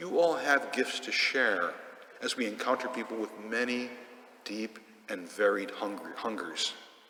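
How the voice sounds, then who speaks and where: A man at a moderate pace with lively intonation, noticeable background noise and audible room echo. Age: 60s. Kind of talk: sermon. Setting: church.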